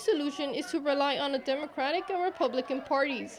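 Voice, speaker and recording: The speech moves at a fairly quick pace with ordinary pitch variation. Noticeable background noise is present. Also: woman. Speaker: multimedia journalist, news reporter. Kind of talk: broadcast news reporter narration.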